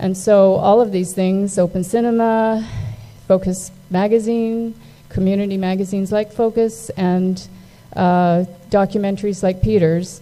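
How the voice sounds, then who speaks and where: A woman speaks fairly slowly at a medium pitch, her intonation monotone and flat. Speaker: magazine publisher, event sponsor. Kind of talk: event speech. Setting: stage with audience. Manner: hesitant, many fillers.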